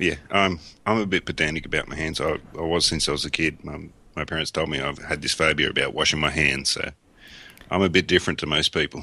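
In an Australian accent, a man with a very deep, low pitch talks at a very fast pace in a bright, sharp tone with fairly even intonation. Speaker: coffin maker, podcaster. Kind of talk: casual chat. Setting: Skype call.

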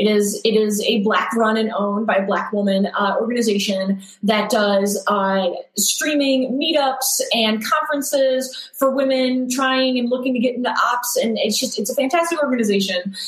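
Speaking with an American accent, a woman talks at a moderate pace with hardly any pauses, her fairly high voice showing ordinary pitch variation amid audible room echo and noticeable background noise. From upstate New York. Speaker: systems engineer. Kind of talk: casual chat.

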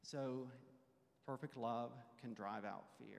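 Here a man speaks in a medium pitch with fairly even intonation. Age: 40s. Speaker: church class teacher. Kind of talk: Bible class teaching.

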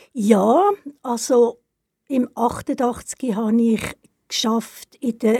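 A woman's voice, fairly high in pitch, carries a dark, mellow tone with ordinary pitch variation. The recording is very clean, with a silent background and a dry, close sound with no echo. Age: 70s. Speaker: retired cultural organizer. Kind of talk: casual interview.

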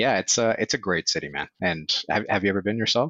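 A man talks at a fairly quick pace in a fairly low pitch with ordinary pitch variation, an unremarkable speaking voice. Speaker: marketer, former sales rep. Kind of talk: casual interview chat. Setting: video call.

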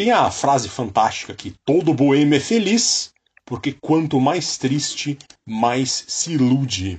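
A man with a Brazilian accent speaks very slowly in a somewhat breathy voice, his fairly high pitch swinging very widely. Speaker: music podcast co-host. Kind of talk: music podcast with narrated background segments.

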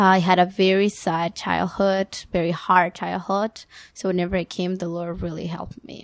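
With a Spanish accent, a woman talks at a medium pitch and moderate pace in monotone, flat intonation with big swings in loudness, captured in a very clean recording with a silent background. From Ecuador. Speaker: guest, daughter, translator. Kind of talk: casual interview chat.

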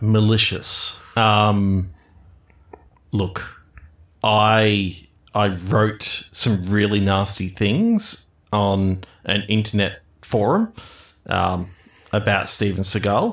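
A man does a put-on character voice, fairly low and fairly bright, with lively intonation. He speaks very slowly, with long pauses coming often.

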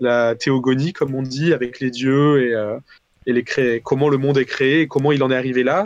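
With an unremarkable speaking voice, a man talks at a moderate pace, keeping his loudness very even and his intonation fairly even. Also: medium pitch for a man. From southern France, Valence. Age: 20s. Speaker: indie game developer. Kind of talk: casual interview.

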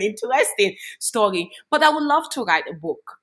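A woman with a Gambian accent and very wide pitch swings. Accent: Gambian-African. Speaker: human rights activist. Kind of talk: interview.

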